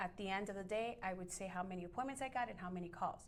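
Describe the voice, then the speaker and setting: A woman speaks with a Miami accent at a fairly quick pace. Her pitch variation is ordinary. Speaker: real estate agent. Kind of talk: interview. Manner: bubbly.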